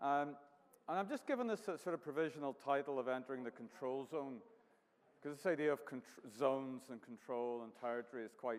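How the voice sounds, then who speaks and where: A man with a Northern Irish accent, medium pitch, ordinary pitch variation and a fairly quick pace. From Northern Ireland, County Down. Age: 50s. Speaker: artist. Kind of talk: artist talk with slides. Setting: venue with live audience.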